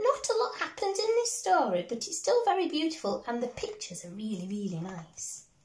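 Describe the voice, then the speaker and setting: Amid audible room echo, a woman with an extremely high pitch speaks in an animated, gentle tone, her pitch swinging very widely and her loudness shifting in big swings. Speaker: primary school teacher. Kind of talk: bedtime story reading aloud to young children, with a chatty intro. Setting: video recorded at home. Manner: gentle, warm and sing-song, with slow, expressive pacing and character voices; animated and encouraging, speaking directly to small children. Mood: gentle, warm. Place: home room. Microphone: phone near.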